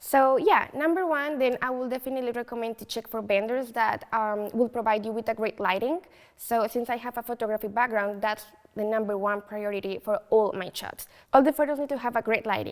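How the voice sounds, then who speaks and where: With a Colombian accent, a woman talks at a fairly quick pace in a fairly high pitch. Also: ordinary pitch variation. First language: Spanish. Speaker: photo booth business owner. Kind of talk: interview. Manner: hesitant, many fillers.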